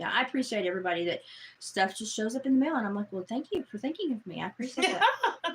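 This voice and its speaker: A woman's high-pitched, animated voice with a Southern US accent, very fast delivery and very wide pitch swings, over noticeable background noise. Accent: Southern twang. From Appalachia. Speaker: live streamer. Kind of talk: casual chat.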